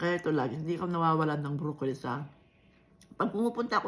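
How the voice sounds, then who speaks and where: A woman speaks at a fairly low pitch. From Ilocos region, Philippines. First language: Ilocano (speaking Tagalog). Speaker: vlogger. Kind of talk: casual vlog chat.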